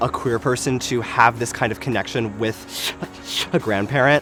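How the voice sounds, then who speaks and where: Moderate pace with music in the background. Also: man. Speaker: drag queen and opera singer. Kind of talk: interview testimony.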